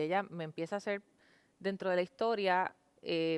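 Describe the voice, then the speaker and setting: Recorded very cleanly with a silent background and a dry, close sound with no echo, a woman with a fairly low pitch talks at a moderate pace. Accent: Puerto Rican. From Puerto Rico. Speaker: TV news anchor. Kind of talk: interview.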